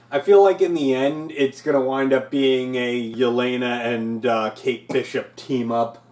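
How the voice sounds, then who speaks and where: A man speaks at a fairly slow pace with an American accent and ordinary pitch variation, over noticeable background noise. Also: medium pitch for a man, hardly any pauses. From New Jersey. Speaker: reaction show co-host. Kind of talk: casual review chat.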